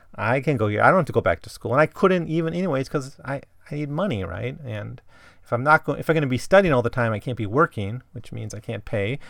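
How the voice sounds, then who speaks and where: A man at a very fast pace with lively intonation. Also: medium pitch for a man, big swings in loudness, very clean recording, silent background. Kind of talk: solo literary analysis podcast. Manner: casual, with many fillers.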